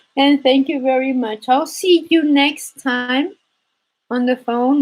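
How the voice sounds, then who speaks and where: Speaking at a very slow pace, a woman with a high pitch talks in a Spanish accent. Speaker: embroidery teacher. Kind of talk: live stream chat.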